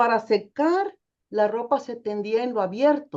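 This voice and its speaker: At a fairly slow pace, a woman speaks in a high pitch with lively intonation. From Mexico, Nayarit. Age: 60s. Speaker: theologian. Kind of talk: testimony.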